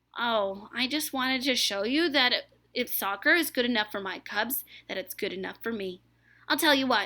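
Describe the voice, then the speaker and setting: A woman's put-on character voice at a high pitch, on a very clean recording with a silent background. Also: moderate pace. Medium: read story.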